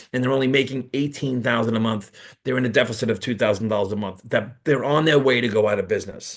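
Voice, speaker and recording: A man talks at a very fast pace. He has a New York accent. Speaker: network marketing presenter. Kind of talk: business presentation on livestream. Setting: live video call streamed to YouTube. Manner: halting, many repeats and fillers.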